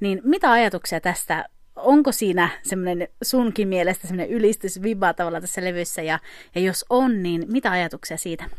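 A woman speaks in a plain, everyday voice at medium pitch and a moderate pace. The recording is very clean, with a silent background. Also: ordinary pitch variation. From Finland. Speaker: podcast host. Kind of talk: casual interview.

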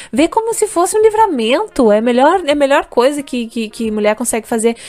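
This woman talks at a fairly quick pace in a high voice. Her pitch swings very widely. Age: 20s. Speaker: podcast co-host. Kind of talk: casual chat. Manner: halting, many repetitions.

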